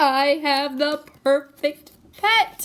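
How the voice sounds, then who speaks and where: This woman uses a put-on character voice. It is high in pitch with ordinary pitch variation. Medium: read story. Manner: cheerful, eager.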